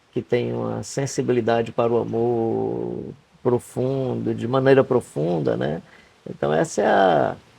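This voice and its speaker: Over noticeable background noise, a man talks at a fairly slow pace. His fairly low voice swings very widely in pitch. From Rio Grande do Norte, Brazil. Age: 70s. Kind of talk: podcast interview answer. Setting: outdoors.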